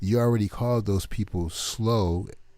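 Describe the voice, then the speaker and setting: On a very clean recording with a silent background, a man speaks fairly slowly in a dark, mellow tone with ordinary pitch variation. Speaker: online commentator. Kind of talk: casual commentary monologue.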